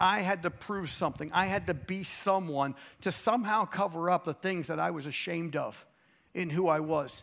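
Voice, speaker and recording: A man with an American accent speaks at a high pitch. His pitch varies in an ordinary way. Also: moderate pace. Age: 50s. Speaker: chapel speaker. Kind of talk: sermon. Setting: stage with audience. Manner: animated.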